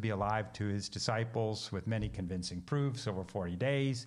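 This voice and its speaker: A man with an American accent and an ordinary speaking voice talks at a moderate pace, his fairly low pitch carrying fairly even intonation. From US Pacific Northwest, Seattle. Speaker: missionary theologian and minister. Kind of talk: interview.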